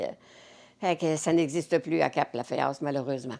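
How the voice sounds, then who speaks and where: With a very deep, low pitch, a woman talks at a moderate pace using fairly even intonation. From Cap-Saint-Ignace, Quebec. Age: 80s+. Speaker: community volunteer. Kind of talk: interview answer.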